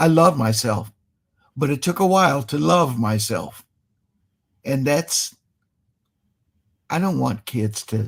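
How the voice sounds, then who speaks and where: A somewhat breathy voice with an American accent, at a very slow pace, with very wide pitch swings and long, frequent pauses. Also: man, medium pitch for a man. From Cleveland, Ohio (US Midwest). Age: 70s. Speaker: musician, talk show guest. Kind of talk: casual chat.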